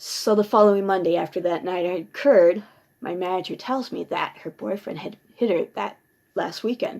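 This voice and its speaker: A woman talks at a moderate pace with a medium pitch and ordinary pitch variation. Vocal fry runs through her voice. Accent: American. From Minnesota. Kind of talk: personal ghost story told to camera. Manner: ad-libbed, with fillers.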